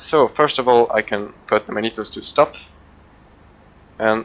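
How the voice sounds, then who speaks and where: This man has a non-native accent and a medium pitch. He speaks at a fairly slow pace. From Switzerland. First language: not English. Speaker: flight sim video creator. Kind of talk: gameplay commentary. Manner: halting, many fillers.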